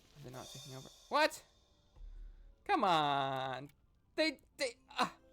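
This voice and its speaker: Over music in the background, a man speaks at a fairly slow pace with big swings in loudness. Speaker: gaming YouTuber. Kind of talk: casual gameplay commentary. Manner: halting, stuttering.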